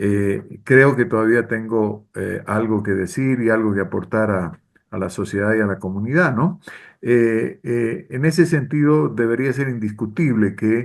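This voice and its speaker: Lively intonation from a medium-pitched man over a quiet background. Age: 60s. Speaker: political consultant. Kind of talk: interview. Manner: hesitant, frequent fillers.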